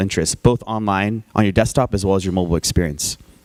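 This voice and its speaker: Delivered at a very fast pace with ordinary pitch variation, the speech has a dry, close sound with no echo. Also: man. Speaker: tech entrepreneur and conference speaker. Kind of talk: conference talk with slides. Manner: casual, many filler words.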